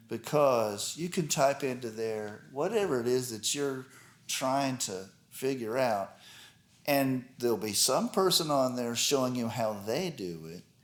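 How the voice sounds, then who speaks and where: Speaking fairly slowly, a man uses a normal speaking voice with lively intonation. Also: medium pitch for a man. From Texas, Dallas. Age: 60s. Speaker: guitarist. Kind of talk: interview.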